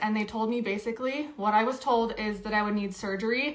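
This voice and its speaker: There is noticeable background noise as a woman talks with fairly even intonation. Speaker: video creator sharing health experience. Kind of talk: live stream Q&A chat. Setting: live stream. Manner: fast.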